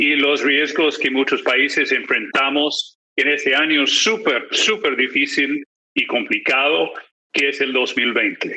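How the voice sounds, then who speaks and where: A man speaks at a very slow pace. His loudness stays very even. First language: English (speaking Spanish). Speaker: political analyst and magazine editor. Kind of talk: conference presentation. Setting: video call. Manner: frequent filler hesitations.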